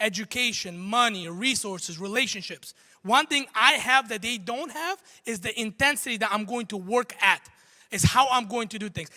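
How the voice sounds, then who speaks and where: Raising and projecting his high voice, a man talks at a fairly quick pace in an animated tone that sounds bright and sharp. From Armenia. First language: not English (English is third language). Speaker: entrepreneur and motivational speaker. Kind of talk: motivational talk on stage. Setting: stage with audience.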